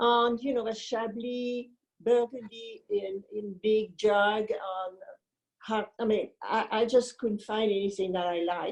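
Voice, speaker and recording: A woman with a French accent speaks fairly slowly, her fairly high voice keeping a fairly even intonation. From France. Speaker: wine importer. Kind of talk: interview.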